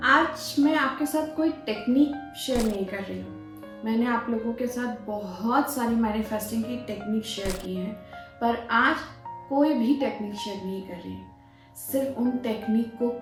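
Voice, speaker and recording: Pitch varies in an ordinary way. Music plays in the background. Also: woman. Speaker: manifestation and meditation guide. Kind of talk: personal story talk to viewers. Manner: calm, gentle.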